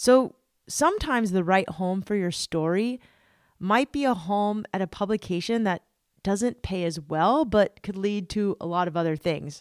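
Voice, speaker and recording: With lively intonation and an unremarkable speaking voice, a woman speaks at medium pitch and a moderate pace, the sound dry and close with no echo on a very clean recording with a silent background. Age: 40s. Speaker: podcast host. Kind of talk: scripted narration; interview.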